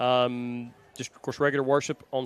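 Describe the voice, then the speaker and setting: The man speaks in a monotone with flat intonation. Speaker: sports commentator. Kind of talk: live commentary. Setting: high school football game. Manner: fast.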